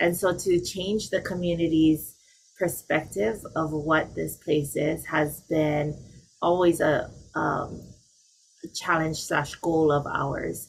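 A woman speaks in a Hawaiian accent with a very deep, low pitch. Her pace is very slow. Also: fairly even intonation. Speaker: nonprofit organization leader. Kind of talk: panel discussion. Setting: video call.

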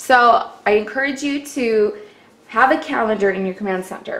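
Her pitch is high. The woman talks at a moderate pace. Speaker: home organizing vlogger. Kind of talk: tutorial. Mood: warm, enthusiastic. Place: kitchen. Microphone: phone near.

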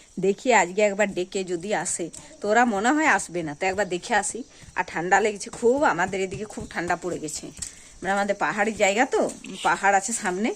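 Using an ordinary speaking voice, she speaks at a medium pitch for a woman, her pitch varying in an ordinary way. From Purulia district, West Bengal, India. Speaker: village housewife vlogger. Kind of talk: casual vlog narration.

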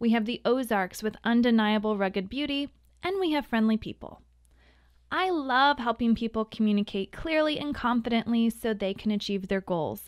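With a plain, everyday voice and an American accent, a woman pitched fairly high speaks at a moderate pace with lively intonation, in a very clean, dry, close recording with no echo and a silent background. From US Midwest (Missouri). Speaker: communication coach, podcast host. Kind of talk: scripted podcast monologue.

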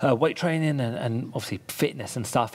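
Speaking at a very fast pace, a man shows ordinary pitch variation. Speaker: podcast guest, fitness trainer. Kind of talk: interview answer. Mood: upbeat, a bit amused. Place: home room. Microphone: headset.

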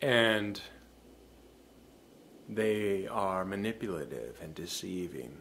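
A man at a very slow pace over light background noise. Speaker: formal wear store employee. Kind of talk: casual talk to camera. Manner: reflective. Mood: reflective, earnest. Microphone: webcam.

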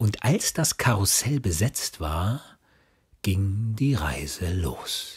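The tone is soothing and somewhat breathy, with very wide pitch swings at a very slow pace. The recording is very clean, with a silent background. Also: man, fairly low pitch for a man. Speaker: audiobook narrator and father reading for his son. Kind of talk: children's bedtime story reading. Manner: calming, soothing.

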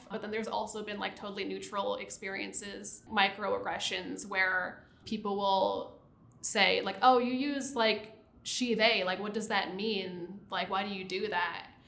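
A woman talks at a fairly slow pace with an American accent. Her intonation is fairly even, and there is audible room echo. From US Northeast, New Jersey Shore; New Jersey. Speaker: site reliability engineer; interviewee. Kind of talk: interview. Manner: casual, many fillers. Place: studio. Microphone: lapel.

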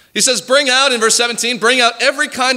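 A man speaks in a raised, projected voice. His pace is fairly quick. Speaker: preacher. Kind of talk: sermon. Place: church. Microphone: podium.

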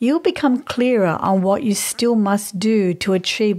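A woman talks in a normal speaking voice at a moderate pace and medium pitch, using ordinary pitch variation. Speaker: podcast host. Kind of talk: astrology talk.

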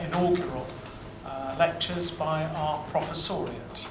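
A man at a fairly slow pace with fairly even intonation, over noticeable background noise. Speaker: university official introducing lecture. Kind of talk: formal introductory speech. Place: hall. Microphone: podium.

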